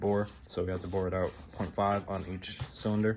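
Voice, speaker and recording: Audible room echo surrounds a man's voice. He speaks at a very deep, low pitch in a monotone, flat intonation. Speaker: car builder vlogger. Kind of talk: casual garage vlog. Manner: fast.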